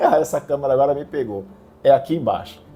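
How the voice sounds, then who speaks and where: A man talks in a calm tone. His pitch sits fairly high. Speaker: religious video host. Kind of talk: religious commentary video.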